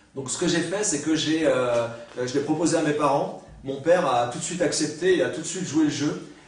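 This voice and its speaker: A man's fairly high voice at a moderate pace, with fairly even intonation and audible room echo. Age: 40s. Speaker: writer. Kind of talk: lecture; seminar talk. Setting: university seminar with audience. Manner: halting. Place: classroom.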